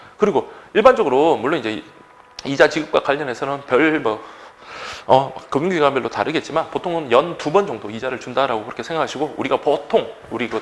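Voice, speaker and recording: Against noticeable background noise, a man with a fairly high pitch talks at a very fast pace with ordinary pitch variation. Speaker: exam prep lecturer. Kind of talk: lecture.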